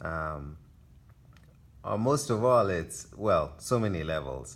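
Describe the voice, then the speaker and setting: With a very deep, low pitch, a man talks at a very slow pace, his pitch swinging very widely. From Kenya. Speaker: artist. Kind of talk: casual gallery tour talk. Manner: hesitant, many fillers.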